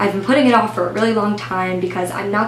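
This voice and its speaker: Her intonation is lively. This woman is heard over noticeable background noise. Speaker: beauty blogger. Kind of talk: makeup tutorial talk to camera. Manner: subdued, low-energy.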